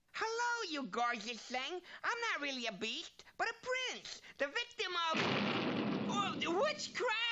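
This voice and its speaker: Here is a cartoonish character voice at an extremely high pitch. It swings very widely in pitch and moves at a fairly slow pace. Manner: wisecracking, comic exasperation.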